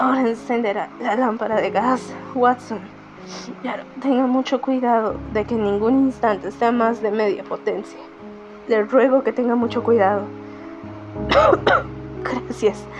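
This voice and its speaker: A woman with fairly even intonation, music in the background. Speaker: amateur narrator. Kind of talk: audiobook narration. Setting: home recording, poor microphone.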